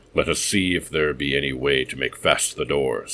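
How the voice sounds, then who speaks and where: A man puts on a character voice that is raspy and very deep, with very low pitch. He talks at a moderate pace with fairly even intonation. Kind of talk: period adventure reading. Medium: read story. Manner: archaic, solemn, stern.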